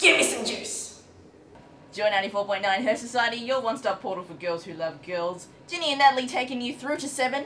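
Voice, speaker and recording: A woman talks at a very fast pace with a fairly high pitch and lively intonation. Her loudness swings widely, and there is noticeable background noise. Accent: Australian. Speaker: radio host. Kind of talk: radio show chat. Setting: radio studio. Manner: animated.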